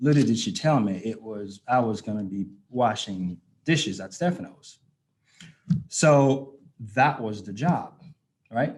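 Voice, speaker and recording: A man of medium pitch speaks with lively intonation. He leaves long, frequent pauses. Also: fairly slow pace, big swings in loudness. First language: not English. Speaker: guest speaker at anniversary event. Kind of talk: personal testimony speech.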